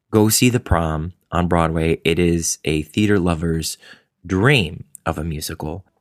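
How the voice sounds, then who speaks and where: A man's voice has a very deep, low pitch with ordinary pitch variation. The sound is dry and close, with no echo. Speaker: podcast host and stage actor. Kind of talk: casual interview chat.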